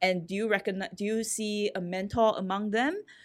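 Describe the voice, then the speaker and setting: A woman of medium pitch talks in a normal speaking voice at a moderate pace. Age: 40s. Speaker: startup CEO, former magazine editor. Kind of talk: interview conversation.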